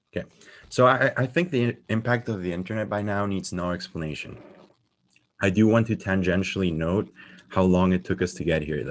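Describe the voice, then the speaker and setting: A plain, everyday voice from a man, fairly low in pitch with ordinary pitch variation, at a fairly quick pace. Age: 20s. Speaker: software engineer. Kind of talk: conference talk.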